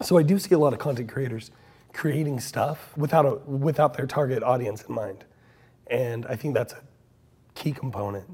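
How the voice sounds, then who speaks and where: A man with an American accent speaks at a moderate pace, his medium-pitched voice dark, mellow and somewhat breathy with ordinary pitch variation. He takes long, frequent pauses in a very clean recording with a silent background. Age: 40s. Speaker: podcast host. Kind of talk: casual interview conversation. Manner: animated.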